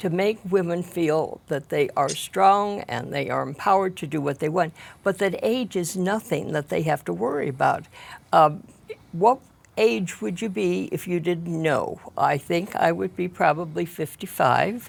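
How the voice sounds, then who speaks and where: With vocal fry and lively intonation, a woman speaks fairly slowly at a fairly low pitch. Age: 80s+. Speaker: project participant. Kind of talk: TV interview.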